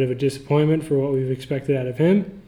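A man's fairly high, somewhat breathy voice with a dark, mellow tone and fairly even intonation. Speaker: fantasy football podcast host. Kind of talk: casual banter, recap podcast. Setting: office.

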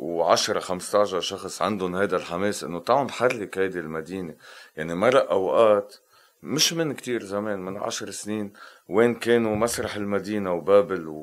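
A man's plain, everyday voice, fairly low in pitch, at a fairly slow pace. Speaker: composer and musician. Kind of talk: interview conversation.

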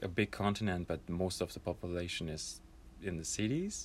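A man with a German accent speaks in a very deep, low voice with ordinary pitch variation. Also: very clean recording, silent background. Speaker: podcast co-host. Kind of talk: casual chat.

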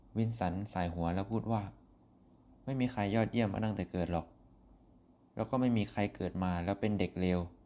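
With ordinary pitch variation, a man speaks in a fairly low pitch and a dark, mellow tone. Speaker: podcast host. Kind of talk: storytelling narration. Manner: halting.

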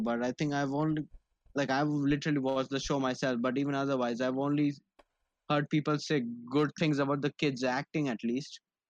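A man with an Indian accent, fairly high in pitch and fairly even in intonation, with a dry, close sound with no echo and a quiet background. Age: 20s. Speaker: podcast co-host. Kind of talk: casual chat.

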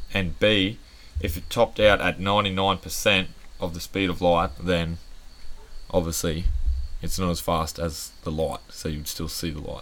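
A man with an Australian accent speaks in a very deep, low voice with ordinary pitch variation. His pace is fairly slow, with long, frequent pauses. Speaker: podcast co-host. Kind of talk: casual chat. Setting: outdoor backyard bar.

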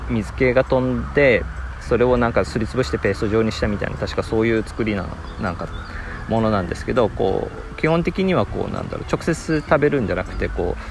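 A man with a Nagasaki accent at a fairly quick pace, with noticeable background noise. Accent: Nagasaki dialect Japanese. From Japan, Nagasaki. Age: 40s. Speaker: podcaster. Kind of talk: casual monologue. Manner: many fillers.

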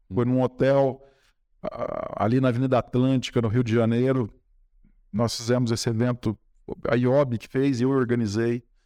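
A man at a medium pitch speaks at a fairly slow pace in a flat monotone, leaving long, frequent pauses, on a very clean recording with a silent background. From Brazil, São Paulo state (Espírito Santo do Pinhal). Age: 50s. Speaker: environmental lawyer. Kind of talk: podcast interview.

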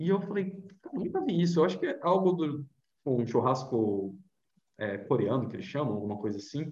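Very wide pitch swings mark a man's dark, mellow, somewhat breathy voice. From Brazil, Vitória, Espírito Santo. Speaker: travel blogger and journalist. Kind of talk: casual interview chat.

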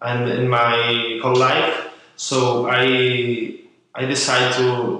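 Speech comes at a very slow pace in a monotone, flat delivery, with audible room echo. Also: man. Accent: Spanish. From Spain. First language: Spanish. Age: 20s. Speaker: journalist and writer. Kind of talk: interview. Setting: coworking space. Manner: halting.

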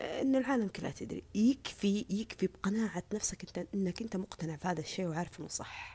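With a dark, mellow tone and a somewhat breathy voice, the speaker talks at a moderate pace with lively intonation and hardly any pauses. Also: woman, medium pitch for a woman. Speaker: social media personality. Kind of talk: casual monologue. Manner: earnest, repetitive.

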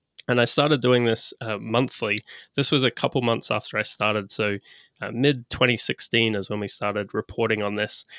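The recording is very clean, with a silent background. A man at medium pitch speaks at a fairly quick pace in a bright, sharp tone with fairly even intonation. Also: dry, close sound with no echo. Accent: Australian. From Australia. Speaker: e-commerce business broker. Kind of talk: podcast interview.

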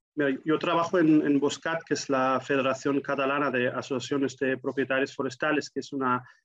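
A man speaks at a medium pitch in a German accent, with monotone, flat intonation. The sound is dry and close, with no echo. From Germany. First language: German (speaking Spanish). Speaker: forestry association professional. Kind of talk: interview.

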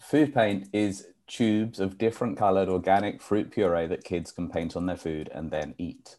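This man has a fairly low pitch, a dark, mellow tone and a slight British accent. He talks at a moderate pace with hardly any pauses and ordinary pitch variation. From UK. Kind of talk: interview. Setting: live show.

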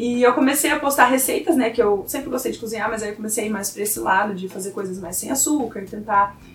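Over noticeable background noise, a woman with a fairly high pitch talks at a fairly quick pace with ordinary pitch variation. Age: 20s. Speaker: university student. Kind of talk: casual chat.

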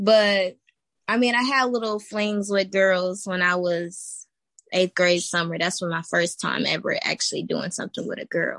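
A normal speaking voice from a woman with an American accent, medium pitch and ordinary pitch variation, over a quiet background. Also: moderate pace. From Texas. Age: 20s. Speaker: guest. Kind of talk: casual chat.

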